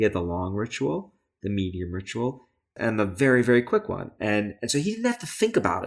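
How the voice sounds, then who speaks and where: A man with an American accent and a plain, everyday voice, medium in pitch with ordinary pitch variation, at a fairly quick pace on a very clean recording with a silent background. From US, Brooklyn, New York. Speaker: psychology professor and author. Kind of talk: interview conversation.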